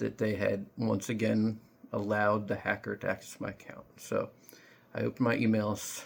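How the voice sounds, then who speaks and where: A man is speaking. His pace is moderate. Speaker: vlogger telling personal story. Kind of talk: casual monologue vlog.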